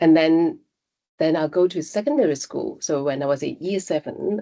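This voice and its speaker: In a Cantonese accent, a woman with a very deep, low pitch and a dark, mellow tone speaks at a moderate pace with ordinary pitch variation. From Hong Kong. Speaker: technology executive. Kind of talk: interview. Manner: halting.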